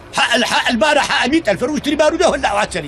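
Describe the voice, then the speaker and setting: A man speaks with lively intonation and an animated tone. Noticeable background noise can be heard. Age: 60s. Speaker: elderly villager. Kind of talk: angry tirade.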